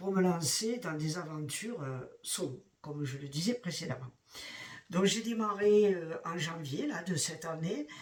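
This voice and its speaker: Talking at a fairly slow pace, a man uses a high voice with ordinary pitch variation. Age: 60s. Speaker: retiree hiking vlogger. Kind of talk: casual vlog monologue. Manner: halting, many hesitations.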